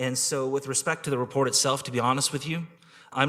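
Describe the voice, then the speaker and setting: This man talks at a medium pitch in a Canadian accent, keeping his intonation fairly even. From Ontario, Canada (Kingston). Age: 40s. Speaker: public delegate at city council. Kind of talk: council delegation testimony. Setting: city council meeting. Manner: halting, many fillers.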